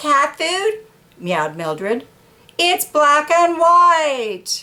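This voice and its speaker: A woman performs a put-on character voice at a high pitch. She speaks at a very slow pace. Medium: read story.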